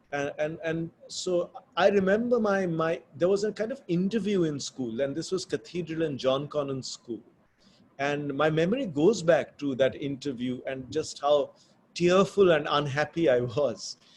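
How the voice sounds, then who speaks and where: A man with a Bengali accent speaks at a fairly high pitch and a moderate pace. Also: lively intonation. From India, Bombay. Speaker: author. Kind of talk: interview conversation. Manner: thoughtful, hesitant with fillers.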